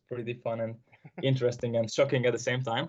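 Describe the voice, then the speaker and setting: In a Hungarian accent, the speaker rushes along at a very fast pace with a somewhat breathy sound. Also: man. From Hungary. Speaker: podcast host. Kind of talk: casual chat.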